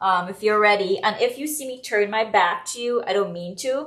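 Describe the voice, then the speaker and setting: Lively intonation at a moderate pace in a Trinidadian accent. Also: woman. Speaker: home cook and food blogger. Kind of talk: live cooking demo.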